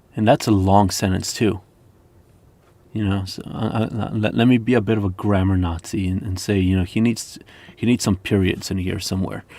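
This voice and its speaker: With a non-native accent, a man speaks at a fairly low pitch in a dark, mellow tone with fairly even intonation. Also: moderate pace. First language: not English. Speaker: lute player and music teacher. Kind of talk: reading aloud with commentary. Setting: live stream.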